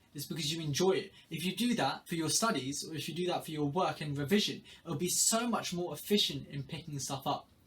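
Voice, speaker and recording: A high-pitched man at a fairly quick pace with hardly any pauses and ordinary pitch variation, over noticeable background noise. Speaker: student giving study tips. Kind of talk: tutorial.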